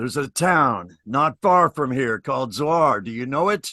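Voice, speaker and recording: In a put-on character voice, a man at medium pitch talks at a moderate pace against a quiet background. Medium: solo performance. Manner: urgent, matter-of-fact.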